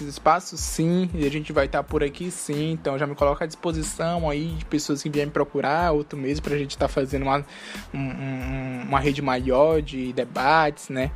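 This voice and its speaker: Over noticeable background noise, a man with a fairly high pitch talks fairly quickly. His pitch varies in an ordinary way. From Brazil, Maranhão (Grajaú). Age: 20s. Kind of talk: interview.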